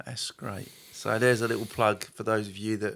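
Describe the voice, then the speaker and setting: The talking goes at a moderate speed. It's a man in an English accent. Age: 60s. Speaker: church podcast host. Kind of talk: casual chat.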